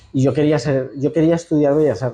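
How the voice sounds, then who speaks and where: A man speaks in a Castilian accent at a moderate pace, his pitch fairly high. His intonation stays fairly even over noticeable background noise. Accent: central Spanish (Castilian). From Spain, La Mancha (Ciudad Real). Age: 40s. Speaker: architect, institute director. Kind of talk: interview. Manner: halting, with frequent repetitions.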